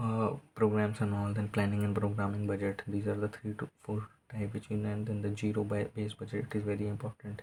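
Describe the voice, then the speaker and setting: The speaker has an Indian accent. The recording is very clean, with a silent background. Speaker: student tutor. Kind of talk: tutorial. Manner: halting; fast.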